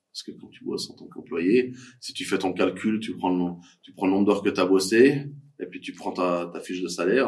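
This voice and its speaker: An ordinary speaking voice from a man, fairly low in pitch, with ordinary pitch variation and a moderate pace. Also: big swings in loudness. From Switzerland, Fribourg. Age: 40s. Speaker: coworking space manager. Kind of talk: casual interview.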